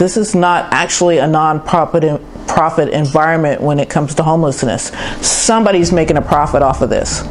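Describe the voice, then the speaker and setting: Against noticeable background noise, a woman with a very deep, low pitch talks at a fairly quick pace, keeping very even loudness and ordinary pitch variation. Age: 60s. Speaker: homeless person interviewed. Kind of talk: street interview.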